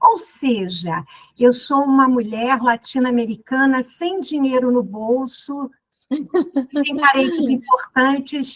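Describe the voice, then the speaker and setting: In a Rio de Janeiro accent, a woman speaks at a very slow pace with a high pitch. Her pitch varies in an ordinary way. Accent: carioca. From Rio de Janeiro, Brazil. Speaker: law professor. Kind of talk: podcast interview. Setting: studio.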